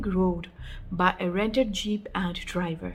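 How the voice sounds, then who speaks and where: Noticeable background noise fills the recording. Through it, a woman can be heard talking. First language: not English. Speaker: storyteller. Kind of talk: reading aloud.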